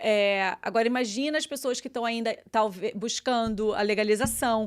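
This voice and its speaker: On a very clean recording with a silent background, a woman with a Brazilian accent speaks at a fairly high pitch with fairly even intonation. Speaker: journalist. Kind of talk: casual chat.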